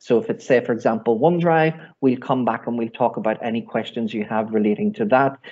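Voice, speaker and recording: A speaker with a Northern Irish accent talks at a fairly quick pace. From Northern Ireland. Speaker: IT trainer. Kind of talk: online workshop training. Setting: video call webinar.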